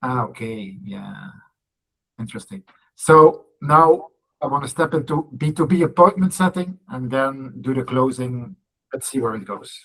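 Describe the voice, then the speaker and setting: This is a man with a European accent. He speaks at a moderate pace. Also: fairly high pitch for a man, big swings in loudness. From Belgium. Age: 40s. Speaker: salesperson. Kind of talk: coaching call introduction.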